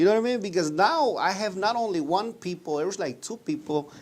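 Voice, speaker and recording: In a Mexican accent, a man speaks with very wide pitch swings. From Mexico, Purepecha-speaking town. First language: Purepecha. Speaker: restaurant owner. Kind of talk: interview. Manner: halting.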